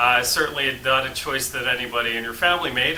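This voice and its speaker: Speaking at a moderate pace with lively intonation, a man with an American accent is heard over noticeable background noise and audible room echo. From United States. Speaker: relocation service founder. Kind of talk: talking-head explainer. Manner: hesitant with frequent uh fillers.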